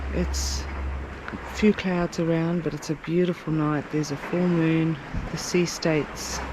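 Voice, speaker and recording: A woman whispers at a fairly slow pace as noticeable background noise carries on. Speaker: sailing vlogger. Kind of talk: casual vlog narration. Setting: on a sailboat at night. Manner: whispering.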